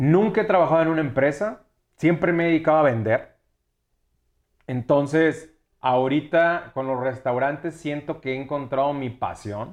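A man with a fairly high pitch talks at a moderate pace with ordinary pitch variation, leaving long, frequent pauses against a quiet background. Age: 30s. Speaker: restaurant owner and entrepreneur. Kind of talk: casual chat.

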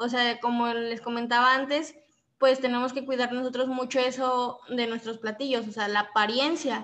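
A woman speaks at a moderate pace in a high pitch. Her intonation is monotone and flat. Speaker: gastronomy student. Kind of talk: casual chat.

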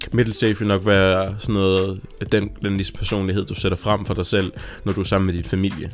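With music in the background, a man talks at a fairly quick pace in a fairly low, monotone, flat voice. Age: 20s. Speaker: podcast co-host. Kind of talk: casual chat.

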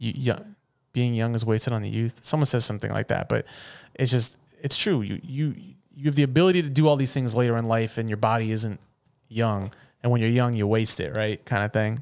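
On a very clean recording with a silent background, a man talks fairly quickly in an unremarkable speaking voice, medium in pitch with ordinary pitch variation. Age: 30s. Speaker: podcast host. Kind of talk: casual chat. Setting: studio.

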